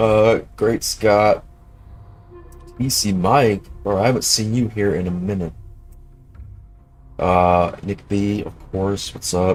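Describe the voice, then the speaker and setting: Over music in the background, a man speaks at a very slow pace in a fairly low pitch with ordinary pitch variation. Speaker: game developer streamer. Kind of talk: live stream chat. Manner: casual, filler-heavy.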